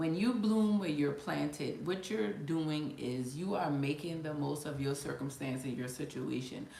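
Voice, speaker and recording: A woman with an American accent speaks at a fairly slow pace, with hardly any pauses, in a very deep, low voice with lively intonation, amid noticeable background noise and audible room echo. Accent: Gullah Geechee. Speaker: life coach. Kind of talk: casual live-stream talk. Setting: live stream at computer. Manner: halting, with many fillers.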